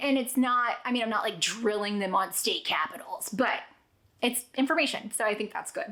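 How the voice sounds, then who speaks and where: A woman speaks at a fairly quick pace. Her tone is animated. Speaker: homeschooling parent and vlogger. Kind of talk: casual chat. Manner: fast.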